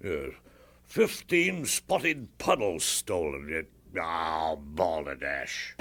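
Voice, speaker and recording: In a put-on character voice, a man speaks very slowly with a very deep, low, raspy pitch. The recording is very clean, with a silent background. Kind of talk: comic military officer. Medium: audio drama. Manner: blustering, muddled, throat-clearing.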